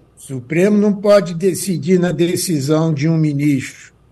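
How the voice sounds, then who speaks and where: Audible room echo surrounds a man whose pitch sits high. His tone is dark and mellow, with ordinary pitch variation. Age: 80s. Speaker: jurist and law professor. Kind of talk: radio interview.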